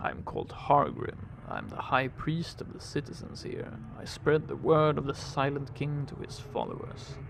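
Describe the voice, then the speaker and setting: Over clear background noise, a put-on character voice sounds resonant and moves at a moderate pace. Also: man, fairly high pitch for a man. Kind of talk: solemn ecclesiastical pronouncement. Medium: game stream. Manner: archaic, formal speech.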